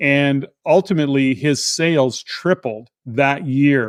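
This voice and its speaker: With a Canadian accent, a man uses an ordinary speaking voice at medium pitch and fairly even intonation, the sound dry and close with no echo. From Canada. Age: 60s. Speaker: real estate entrepreneur. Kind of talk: interview.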